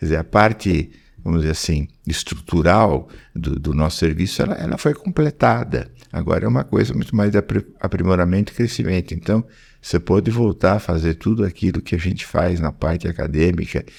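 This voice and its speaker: Talking at a fairly quick pace, a man with a very deep, low pitch uses lively intonation, and vocal fry runs through his voice. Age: 70s. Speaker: pediatric oncologist and professor. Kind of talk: podcast interview. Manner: halting, with frequent repetitions.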